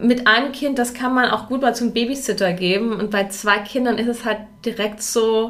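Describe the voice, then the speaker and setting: A moderate pace and fairly even intonation. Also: woman, fairly high pitch for a woman. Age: 40s. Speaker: mother, course participant. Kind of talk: casual chat. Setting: studio.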